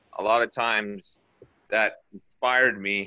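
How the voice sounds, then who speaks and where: Against a quiet background, a man speaks in a bright, sharp tone. His intonation is monotone and flat. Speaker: lay preacher. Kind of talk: sermon testimony. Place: home room. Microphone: phone near.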